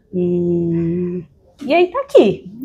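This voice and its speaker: A woman speaks in a São Paulo accent with a dark, mellow tone. Her pitch swings very widely. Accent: full São Paulo (paulista). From São Paulo, Brazil (moved there at age two). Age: 30s. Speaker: podcast guest, entrepreneur. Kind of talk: interview, personal storytelling.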